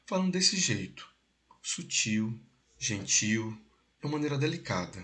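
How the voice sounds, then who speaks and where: In a room with audible echo, a man speaks at a moderate pace with a fairly high pitch. His tone is animated, with very wide pitch swings. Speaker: political commentary host. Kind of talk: casual political discussion.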